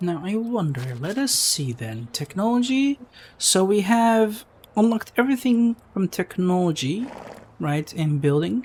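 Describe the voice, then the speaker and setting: Speaking at a fairly slow pace, this voice carries a non-native accent. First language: not English. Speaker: gaming YouTuber. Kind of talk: casual chat.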